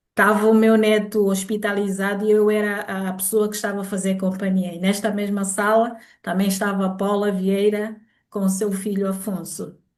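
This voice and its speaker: In a room with audible echo, a woman speaks at a moderate pace with a monotone, flat intonation. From Angola. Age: 60s. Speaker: grandmother, product user. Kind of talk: testimony.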